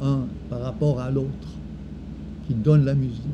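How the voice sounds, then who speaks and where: Noticeable background noise sits behind the voice. The pace is fairly slow, with fairly even intonation. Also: man. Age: 70s. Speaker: former creativity trainer. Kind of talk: personal reflective talk. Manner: halting.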